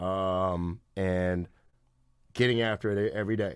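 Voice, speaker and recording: Ordinary pitch variation marks this voice with an American accent, heard on a very clean recording with a silent background. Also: man. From Sacramento, California. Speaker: basketball skills trainer. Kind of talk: casual interview chat.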